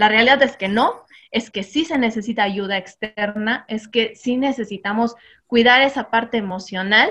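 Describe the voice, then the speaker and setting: Bright, sharp tone at a moderate pace, with fairly even intonation. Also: woman, fairly high pitch for a woman. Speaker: mom influencer. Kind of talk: casual chat. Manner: loud.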